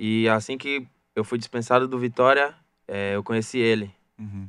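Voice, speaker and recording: Moderate-paced speech from a man at medium pitch, in a dry sound with no echo and a quiet background. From Salvador, Bahia, Brazil; Bahia, Brazil. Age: young. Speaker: youth footballer; guest. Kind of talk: radio interview. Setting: radio studio. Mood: calm, slightly shy. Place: studio. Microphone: studio mic.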